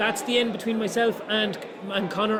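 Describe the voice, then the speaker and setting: Talking at a very fast pace in an Irish midlands accent, a man keeps a monotone, flat intonation, with audible room echo and noticeable background noise. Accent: Irish (Roscommon). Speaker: GAA match commentator. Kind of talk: post-match analysis.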